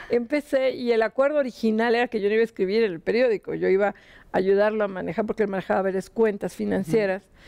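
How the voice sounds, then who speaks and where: A woman with a dark, mellow tone, fairly quick pace and fairly even intonation against a quiet background. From Mexico City. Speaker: financial journalist. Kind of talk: interview. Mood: relaxed, reminiscing. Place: studio. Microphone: lapel.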